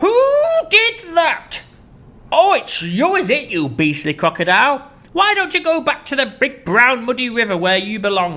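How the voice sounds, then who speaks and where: This is a put-on character voice at a fairly high pitch. It moves in very wide pitch swings. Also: moderate pace. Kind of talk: posh, old-fashioned. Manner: scolding, indignant.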